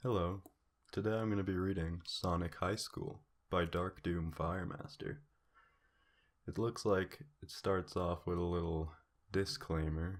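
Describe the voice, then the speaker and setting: Soft-spoken and very deep, a man talks at a fairly slow pace with ordinary pitch variation and long, frequent pauses. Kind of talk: fan fiction reading.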